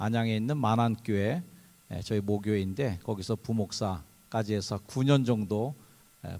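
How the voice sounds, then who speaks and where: This man's voice is fairly low, dark and mellow, with ordinary pitch variation. He talks at a fairly slow pace on a very clean recording with a silent background. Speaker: pastor. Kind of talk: sermon. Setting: chapel service with audience.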